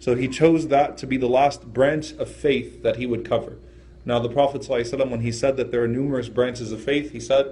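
Speaking at a moderate pace, a man uses a somewhat breathy voice with monotone, flat intonation. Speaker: religious teacher. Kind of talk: lecture. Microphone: phone near.

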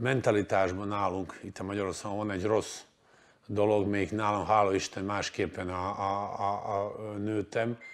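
A man's fairly low-pitched, flat monotone at a fairly slow pace. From Croatia (Dubrovnik). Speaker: basketball coach. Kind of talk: interview. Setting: studio. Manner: halting. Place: studio. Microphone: lapel.

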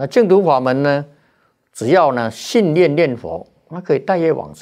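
Vocal fry and very wide pitch swings at a fairly slow pace, over a quiet background. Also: man. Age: 70s. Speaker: Buddhist monk; Buddhist monk teacher. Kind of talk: dharma talk. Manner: frequent filler particles. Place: studio. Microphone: lapel.

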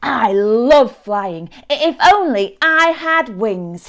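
Using a put-on character voice, a woman talks slowly with lively intonation, a fairly bright tone and fairly high pitch.

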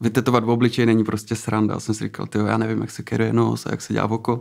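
Against a quiet background, a man talks in a medium pitch. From Czechia, Třinec (Moravian-Silesian region); Moravian-Silesian region, Czechia. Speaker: tattoo artist; guest. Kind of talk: interview. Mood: relaxed, reflective. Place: studio. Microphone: studio mic.

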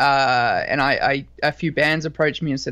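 A man with an Australian accent speaks at a fairly high pitch in a bright, sharp tone, with a quiet background. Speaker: rock band singer and guitarist. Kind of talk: interview. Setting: video call.

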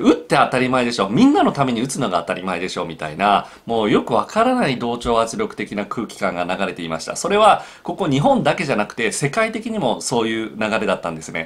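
Very fast and with hardly any pauses, a man speaks. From Japan. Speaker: psychological counselor. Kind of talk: solo video talk. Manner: frequent filler hesitations. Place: home room.

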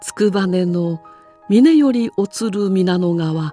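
With music in the background, a woman of medium pitch speaks at a very slow pace in a calm, gentle tone. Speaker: former TV announcer. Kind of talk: classical poetry reading.

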